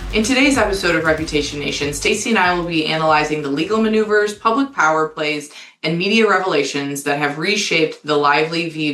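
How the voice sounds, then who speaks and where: A woman with an American accent talks at a very fast pace with hardly any pauses. Her pitch is very deep and low, and her intonation is lively. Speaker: podcast host, crisis management executive. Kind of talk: podcast discussion. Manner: loud.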